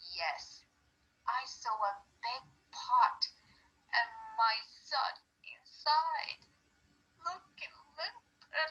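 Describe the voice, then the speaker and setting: In a put-on character voice, the speaker talks at a high pitch and a very slow pace, with very wide pitch swings and long, frequent pauses. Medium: read story. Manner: insistent.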